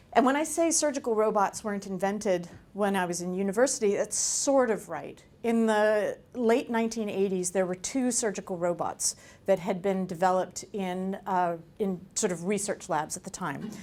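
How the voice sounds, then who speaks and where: A woman with an American accent speaks at a moderate pace. Her pitch is medium, with ordinary variation. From United States. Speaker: surgeon and engineer, foundation president. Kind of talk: lecture. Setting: seminar with audience.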